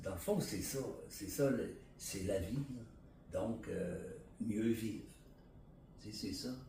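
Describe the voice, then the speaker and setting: Somewhat breathy and medium in pitch, a man talks at a very slow pace with ordinary pitch variation, and room echo is audible. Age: 60s. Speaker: interviewee sharing personal story. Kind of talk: testimony. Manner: halting, many fillers and repetitions.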